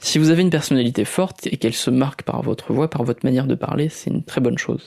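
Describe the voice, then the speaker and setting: A soft-spoken man with a fairly high pitch and a calm tone talks at a fairly quick pace with fairly even intonation, the sound dry and close with no echo. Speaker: podcaster and youtuber. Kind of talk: tutorial. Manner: calm, soft, fluid delivery; hesitant with frequent fillers.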